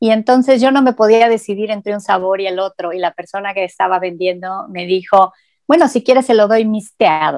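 Over a quiet background, a woman speaks at a fairly quick pace with ordinary pitch variation, the sound dry with no echo. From Mexico. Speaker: linguist and Spanish teacher; Spanish teacher. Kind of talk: interview. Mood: friendly, engaged. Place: office. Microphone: earbuds.

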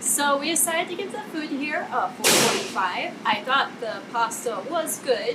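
Against loud background noise, a woman speaks at a fairly slow pace. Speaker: cafe reviewer. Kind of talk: casual vlog review. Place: garden. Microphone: camera far.

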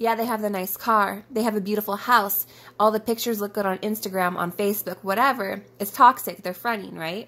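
Here a woman speaks at a fairly quick pace. Her pitch is fairly high, and her intonation stays fairly even. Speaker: tarot reader. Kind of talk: tarot reading video. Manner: chatty, informal.

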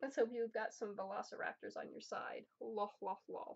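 A woman speaks with an American accent at a fairly slow pace. The background is quiet. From New Jersey. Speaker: YouTuber. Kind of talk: unboxing video. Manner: animated. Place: home room. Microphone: webcam.

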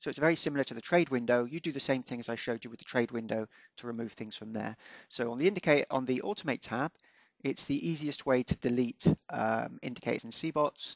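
Fast speech from a man at medium pitch, with vocal fry, ordinary pitch variation, and a dry, close sound with no echo

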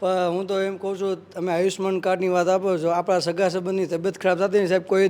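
A man's voice at a high pitch. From Junagadh, Gujarat. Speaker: local citizen, interviewee. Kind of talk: street interview.

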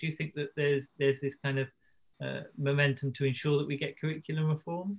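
Fairly high for a man and somewhat breathy, his voice rushes along at a very fast pace. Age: 30s. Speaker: member of parliament. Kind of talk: casual chat. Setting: video call.

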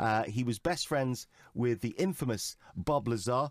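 A man speaks with a British accent. His voice sits at a medium pitch. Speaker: radio show host. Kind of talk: interview. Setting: studio.

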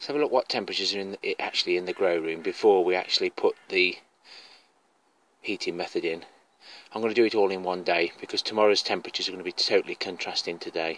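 A man talks at a very fast pace in a dry sound with no echo. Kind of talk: casual vlog chat. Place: garden. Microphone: phone near.

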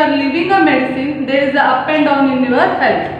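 Strong room echo surrounds a woman's voice, with light background noise behind her. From India. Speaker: school teacher. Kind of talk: lecture. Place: classroom.

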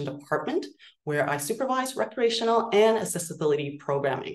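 Over a quiet background, a woman talks at a fairly quick pace with lively intonation. The room echo is audible. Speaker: nonprofit executive director. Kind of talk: virtual meeting presentation. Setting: video call. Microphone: video call.

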